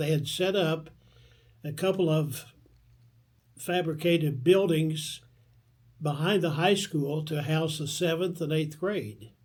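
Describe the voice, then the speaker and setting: A man's very slow speech in an American accent, fairly high in pitch with fairly even intonation and audible room echo. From northeastern Kentucky (Vanceburg, Maysville). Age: 80s+. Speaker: oral history interviewee. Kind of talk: oral history interview. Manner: halting, with frequent fillers.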